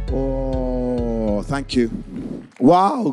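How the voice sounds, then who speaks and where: A man with a Scottish accent and a dark, mellow tone. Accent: Scottish (Edinburgh area). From Scotland, Musselburgh near Edinburgh. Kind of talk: sermon.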